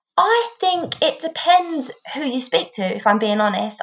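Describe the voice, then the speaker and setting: Here a woman speaks in an English accent. Her pace is moderate. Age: 20s. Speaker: former Paralympic swimmer, apprentice solicitor. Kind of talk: interview.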